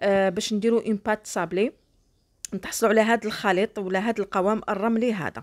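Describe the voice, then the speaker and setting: A plain, everyday voice with fairly even intonation at a moderate pace, dry and close with no echo, on a very clean recording with a silent background. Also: woman, fairly high pitch for a woman. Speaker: cooking YouTuber. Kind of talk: cooking tutorial. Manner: warm and chatty.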